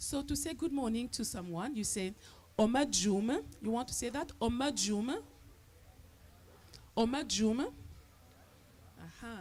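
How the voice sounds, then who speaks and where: A woman talks at a very slow pace, leaving long, frequent pauses. Her fairly high voice shows ordinary pitch variation and vocal fry. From Cameroon, east (Maka), raised in Paris. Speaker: storyteller. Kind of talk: storytelling to festival audience. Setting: outdoor festival, live audience. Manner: interactive call-and-response.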